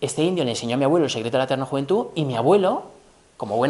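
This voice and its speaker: A man talking at a very fast pace with lively intonation and a fairly high pitch. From Spain. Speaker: business professor, former tech executive; business professor. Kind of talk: lecture. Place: hall. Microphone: camera far.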